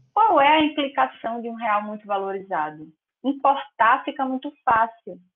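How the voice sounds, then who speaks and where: A woman uses a normal speaking voice at a moderate pace. Her pitch sits fairly high. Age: 20s. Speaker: law master's student and court clerk. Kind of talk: casual interview.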